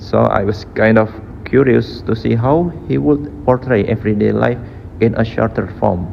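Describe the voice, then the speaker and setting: A man's fairly low voice with a non-native accent, lively intonation, a moderate pace and very even loudness, over noticeable background noise. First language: not English. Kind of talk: IELTS speaking practice answer.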